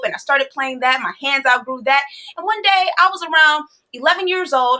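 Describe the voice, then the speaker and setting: Raising and projecting her voice, a woman with an American accent speaks at a high pitch in an animated, bright, sharp tone with lively intonation. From Chicago, US. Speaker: musician and DJ. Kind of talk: interview storytelling. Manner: fast.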